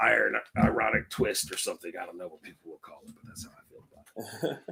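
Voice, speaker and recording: A man with an American accent at a very fast pace, his loudness swinging widely. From San Francisco, California. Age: 50s. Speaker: comedian and cannabis host. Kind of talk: casual interview.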